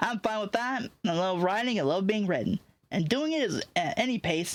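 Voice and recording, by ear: The text is read aloud. The voice sounds natural.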